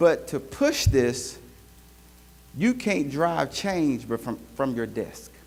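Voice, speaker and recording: A man's fairly high-pitched voice with a Southern accent. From US South, Greenville, South Carolina. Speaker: leadership speaker, healthcare executive. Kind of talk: keynote talk. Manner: animated.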